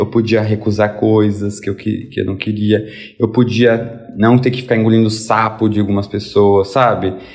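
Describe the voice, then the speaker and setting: Delivered at a moderate pace with hardly any pauses, the speech has monotone, flat intonation. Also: man. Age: 20s. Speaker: lawyer and book influencer. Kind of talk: casual chat.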